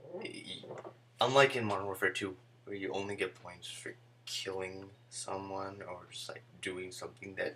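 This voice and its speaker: A soft-spoken man talks at a moderate pace, his loudness swinging widely. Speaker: video game reviewer. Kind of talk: game review. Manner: soft-spoken, speaking low. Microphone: too quiet.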